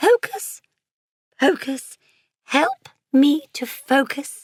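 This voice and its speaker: A woman uses a put-on character voice with a high pitch. She speaks very slowly. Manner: serious, solemn.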